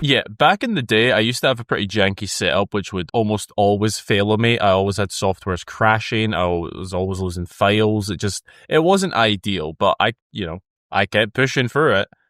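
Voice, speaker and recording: A man talks at a fairly quick pace with a fairly low pitch and a Scottish accent. The recording is very clean with a silent background, with a dry, close sound with no echo. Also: ordinary pitch variation. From Scotland. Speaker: YouTuber. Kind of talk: casual chat. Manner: animated.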